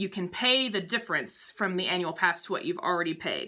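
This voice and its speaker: Her tone is bright and sharp. This woman keeps a fairly quick pace. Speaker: travel agent vlogger. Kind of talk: informational vlog, Q&A tips. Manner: fast.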